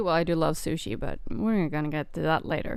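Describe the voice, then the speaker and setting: The speaker has a non-native accent and very wide pitch swings at a moderate pace. The recording is very clean, with a silent background. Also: woman. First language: not English. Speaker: streamer. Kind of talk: casual chat. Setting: live stream during lunch break. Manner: eating while talking.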